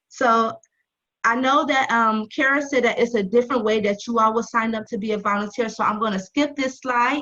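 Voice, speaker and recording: Using a normal speaking voice, a woman talks at a fairly quick pace with a fairly high pitch and fairly even intonation. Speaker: nonprofit volunteer recruiter. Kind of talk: presentation.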